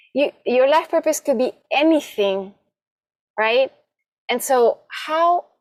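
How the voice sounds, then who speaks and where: A woman speaks at a very slow pace. Her sound is dry and close, with no echo. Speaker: podcast host and life coach. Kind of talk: podcast interview questions.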